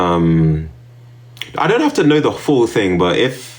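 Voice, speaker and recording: Noticeable background noise sits behind a man with a British accent. His pitch is very deep and low, and his intonation is lively. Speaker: streamer. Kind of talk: casual livestream chat. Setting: live stream. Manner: hesitant with many fillers.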